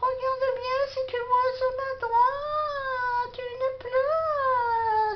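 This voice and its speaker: Against light background noise, a woman does a cartoonish character voice at an extremely high pitch, very slow and with monotone, flat intonation. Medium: puppet.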